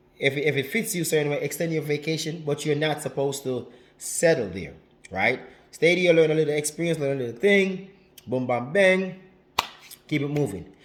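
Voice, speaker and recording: In a Jamaican accent, a man talks at a moderate pace with a fairly high pitch, an animated tone and ordinary pitch variation. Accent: Jamaican, drops some H's. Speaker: relationship advice vlogger. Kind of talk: casual vlog monologue. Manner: animated, repetitive.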